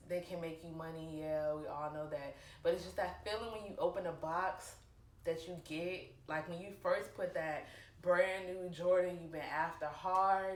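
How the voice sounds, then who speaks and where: In a room with audible echo, a woman with a fairly low pitch speaks with fairly even intonation but big swings in loudness. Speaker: sneaker vlogger. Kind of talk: casual vlog talk. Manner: lots of filler ums.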